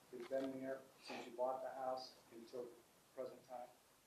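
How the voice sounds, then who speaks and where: Audible room echo surrounds a soft-spoken man. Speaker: attorney. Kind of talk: courtroom cross-examination. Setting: courtroom. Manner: halting.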